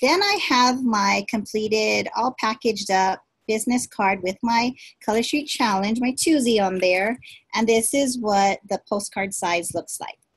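A somewhat breathy woman's voice against a quiet background. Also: ordinary pitch variation, fairly slow pace. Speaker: direct sales consultant. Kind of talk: tutorial. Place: home room. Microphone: webcam.

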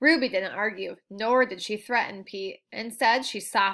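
The speaker reads aloud plainly, with pitch that varies in an ordinary way. Nothing much can be heard behind the voice.

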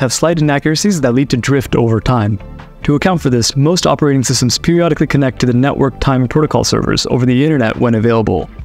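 Faint music plays in the background as a man talks at a very fast pace with ordinary pitch variation, in a dry sound with no echo. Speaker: tech educator. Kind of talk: explainer short. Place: home room.

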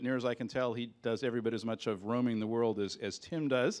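A man talking at a fairly quick pace. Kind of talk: introduction speech. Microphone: handheld.

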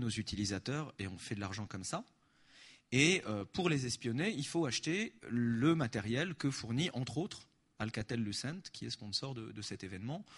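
At a moderate pace, a man speaks in an animated tone that is somewhat breathy. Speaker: activist spokesperson. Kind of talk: conference talk with Q&A. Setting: stage with audience.

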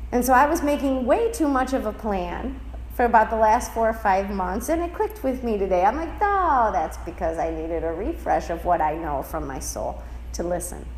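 Audible room echo and noticeable background noise come through as a woman talks. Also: moderate pace. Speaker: spiritual teacher. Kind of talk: lecture.

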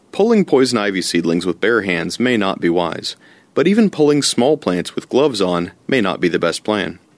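Against a quiet background, a man uses a normal speaking voice with lively intonation at a moderate pace, the sound dry and close with no echo. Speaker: forester. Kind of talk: scripted narration.

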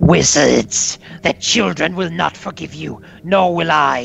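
A man's put-on character voice, raspy and hissing, fairly high in pitch and fairly slow in pace. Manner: strained, as if swallowing something.

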